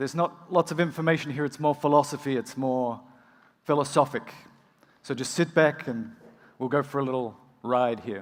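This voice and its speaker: Pausing long and often, a man with an Australian accent speaks in a fairly high voice with ordinary pitch variation. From rural Australia. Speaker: emergency physician and medical educator. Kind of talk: conference keynote. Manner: fast.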